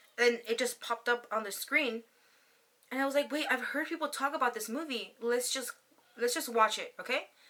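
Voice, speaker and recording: The woman's voice is high, with a bright, sharp tone and an animated delivery. She talks at a fairly quick pace with ordinary pitch variation. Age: 30s. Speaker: YouTube vlogger. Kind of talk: casual chat. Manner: fast.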